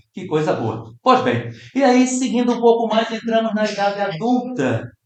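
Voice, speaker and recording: A man's high-pitched, animated voice at a moderate pace, with audible room echo. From Brazil. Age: 60s. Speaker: spiritist lecturer. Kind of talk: lecture.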